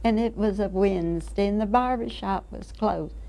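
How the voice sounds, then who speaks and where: A woman with an American accent speaks at a moderate pace, with audible room echo. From Florida, Brevard County. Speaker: oral history interviewee. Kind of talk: oral history interview.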